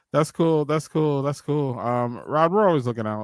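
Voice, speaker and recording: The recording is very clean and the background silent. A man speaks at a fairly quick pace. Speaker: podcast host. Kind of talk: casual chat. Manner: halting, filler-heavy.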